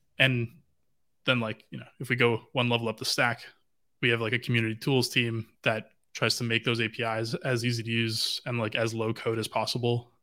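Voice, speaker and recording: A man with a western Canadian accent speaks at a fairly quick pace and medium pitch, in a bright, sharp tone. His intonation is monotone and flat, and the recording is very clean with a silent background. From western Canada, Vancouver. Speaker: blockchain data lead. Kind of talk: casual interview.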